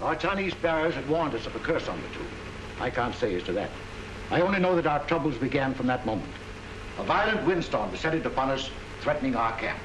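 A man speaking at a very fast pace over noticeable background noise. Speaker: expedition leader lecturing. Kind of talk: lecture. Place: hall. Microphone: old recording.

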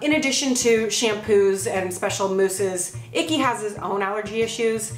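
Faint music plays behind a woman's voice. Room echo is audible. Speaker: vlogger. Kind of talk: casual vlog chat. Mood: playful, joking. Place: kitchen. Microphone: camera far.

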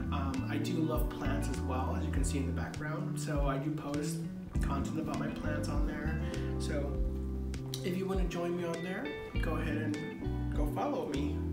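A man talks at a moderate pace with long, frequent pauses while loud music plays in the background. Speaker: DIY home decor creator. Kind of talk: casual vlog chat. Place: home room. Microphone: camera far.

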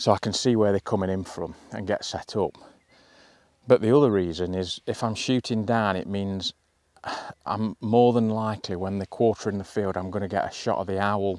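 A man with a plain, everyday voice, fairly low in pitch, at a moderate pace with fairly even intonation, in a dry sound with no echo against a quiet background. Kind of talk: casual vlog chat. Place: open country. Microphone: lapel.

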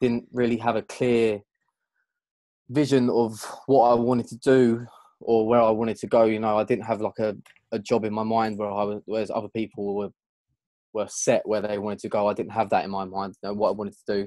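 A man with a southern English accent, fairly quick pace, dark, mellow tone and monotone, flat intonation, in a dry sound with no echo. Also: quiet background. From southern England, outside London. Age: 20s. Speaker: events sound and lighting technician. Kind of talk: interview. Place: home room. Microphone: video call.

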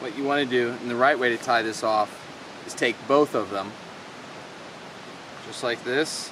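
A man speaks at a fairly slow pace with fairly even intonation. The sound is dry with no echo, but background noise is noticeable. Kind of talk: casual tutorial. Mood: relaxed, pleased. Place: forest.

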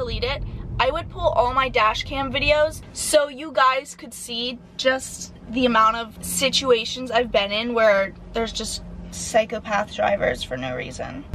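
Over light background noise, a woman speaks at a fairly slow pace with big swings in loudness. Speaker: vlogger. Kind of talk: casual vlog chat. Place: car. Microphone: phone near.

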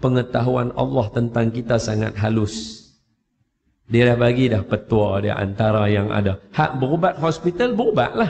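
Somewhat breathy and medium in pitch, a man talks at a fairly slow pace with ordinary pitch variation. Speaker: Quran teacher. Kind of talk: religious talk with storytelling. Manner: casual conversational.

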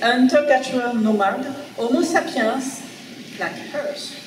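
Amid noticeable background noise and audible room echo, a woman with a French accent speaks at a high pitch with ordinary pitch variation. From France. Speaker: archaeologist. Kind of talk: lecture. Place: hall. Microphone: podium.

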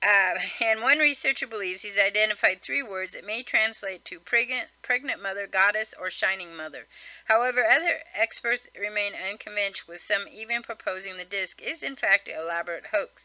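A woman speaks at a fairly quick pace in a bright, sharp tone, with big swings in loudness, ordinary pitch variation and a dry sound with no echo. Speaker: vlogger. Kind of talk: casual reading aloud of a list article with comments. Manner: fast. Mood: casual, mildly wry. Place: home room. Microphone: webcam.

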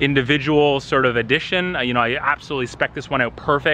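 Fairly even intonation comes through over light background noise. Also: man, dry sound with no echo. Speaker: car vlogger. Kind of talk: casual vlog chat. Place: street. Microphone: phone near.

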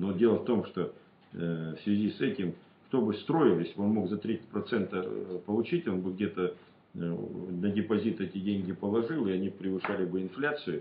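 A man speaks at a moderate pace in a fairly low voice with ordinary pitch variation. Audible room echo surrounds his voice. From rural Russia. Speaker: regional deputy. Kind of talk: interview answers; interview answer. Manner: halting, many fillers. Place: meeting room. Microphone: camera far.

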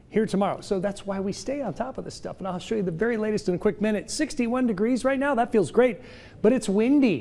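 A man speaks at a fairly quick pace in a high pitch with ordinary pitch variation. His tone is dark and mellow. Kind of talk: weather forecast presentation. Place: studio. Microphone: lapel.

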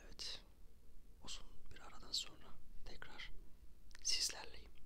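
The pace is fairly slow. It's a man, and he whispers. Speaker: ASMR content creator. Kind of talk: ASMR whisper video addressed to viewers. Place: home room. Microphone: studio mic.

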